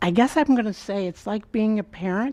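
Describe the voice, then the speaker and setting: In a dark, mellow tone with ordinary pitch variation, a woman speaks against a quiet background. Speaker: school board member running for re-election. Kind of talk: campaign speech. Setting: school board meeting. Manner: soft-spoken.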